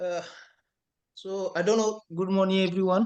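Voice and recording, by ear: With a clear, smooth and slightly mellow tone, a man speaks high in pitch at a moderate pace with little pitch movement.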